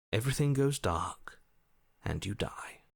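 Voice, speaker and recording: A man performs a put-on character voice at medium pitch. The recording is very clean with a silent background. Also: moderate pace. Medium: video game. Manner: measured, matter-of-fact.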